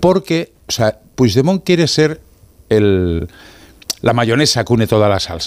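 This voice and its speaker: A man's medium-pitched voice with very wide pitch swings, a fairly slow pace, and long, frequent pauses. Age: old. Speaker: political commentator. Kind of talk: panel discussion.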